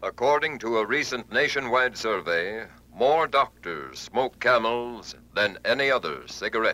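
A man speaks at a fairly slow pace with hardly any pauses and very even loudness. His medium-pitched voice has a bright, sharp tone and ordinary pitch variation. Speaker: radio announcer. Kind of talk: radio commercial and military salute. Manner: formal.

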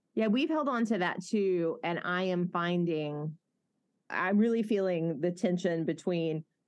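A woman talks at a moderate pace in a Southern accent, her pitch fairly low. Her intonation is lively. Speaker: pastor and podcast host. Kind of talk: casual interview.

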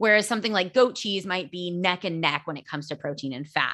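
Over a quiet background, a woman talks at a very fast pace in a fairly low pitch, her tone bright, sharp and animated, with ordinary pitch variation. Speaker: nutrition podcast host. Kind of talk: solo educational podcast. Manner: fast talker; animated, casual.

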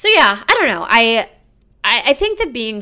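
A woman's bright, sharp tone. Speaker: comedian and podcast host. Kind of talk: solo monologue podcast. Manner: loud; animated.

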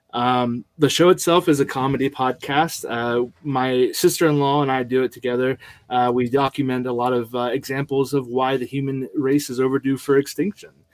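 Recorded very cleanly with a silent background and a dry, close sound with no echo, a man with a plain, everyday voice speaks at a medium pitch and a moderate pace, with fairly even intonation and hardly any pauses. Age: 30s. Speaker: podcast host, father of three. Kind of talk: casual chat.

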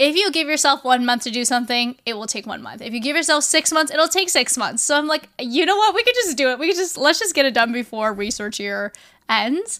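A woman projects a raised voice at a high pitch and a fairly quick pace. Her tone is bright and sharp, with very wide pitch swings. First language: not English. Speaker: podcast co-host. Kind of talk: casual chat.

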